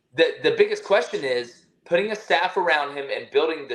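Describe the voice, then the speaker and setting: A man talks with a Southern US accent. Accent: Southern US, moderate. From Alabama. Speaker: college football analyst. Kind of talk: podcast interview. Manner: animated.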